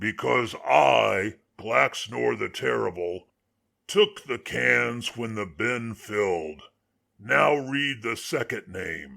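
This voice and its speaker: A man speaks in a raspy, put-on character voice, fairly low in pitch and very slow. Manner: cold, condescending.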